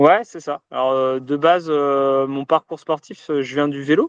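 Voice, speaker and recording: The sound is dry and close with no echo as a man speaks in a fairly high voice with fairly even intonation. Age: 30s. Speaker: duathlete and entrepreneur. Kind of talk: interview answers. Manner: hesitant, many fillers.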